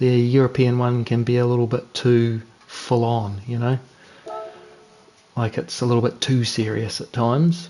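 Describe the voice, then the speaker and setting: A man with a New Zealand accent, medium pitch and long, frequent pauses over music in the background. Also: fairly even intonation, moderate pace. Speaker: sim racing streamer. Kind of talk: live gameplay commentary. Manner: casual, chatty.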